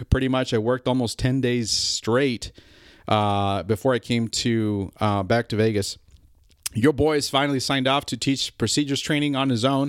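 At a moderate pace, a man speaks in a normal speaking voice at medium pitch with ordinary pitch variation, the sound dry and close with no echo. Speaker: pilot podcaster. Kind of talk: solo podcast monologue. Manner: casual, conversational with fillers.

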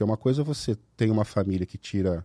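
Lively intonation and a dark, mellow tone mark this somewhat breathy man, recorded very cleanly with a silent background and a dry, close sound with no echo. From Brazil, Ribeirão Preto (São Paulo state). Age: 40s. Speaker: candidate for child protection council, firearms paperwork agent, army veteran. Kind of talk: casual podcast interview.

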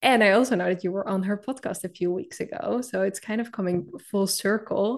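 Against a quiet background, a woman talks fairly quickly in an unremarkable speaking voice, medium-pitched with ordinary pitch variation. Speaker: podcast account lead interviewer. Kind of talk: interview conversation.

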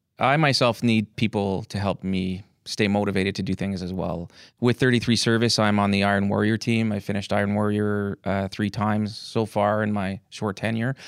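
A normal speaking voice from a man at a moderate pace and with fairly even intonation, dry and close with no echo, on a very clean recording with a silent background. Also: fairly low pitch for a man. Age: 40s. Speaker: army reservist and postal worker. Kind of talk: interview.

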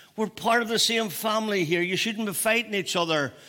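A man's raised, projected voice, high-pitched with a bright, sharp tone and ordinary pitch variation. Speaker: preacher. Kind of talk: sermon.

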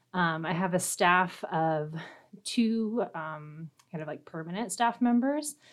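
With an American accent, a woman speaks very slowly at a medium pitch, using lively intonation. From Nebraska, US Midwest. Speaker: arts education director. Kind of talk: interview. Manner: frequent fillers, hesitant.

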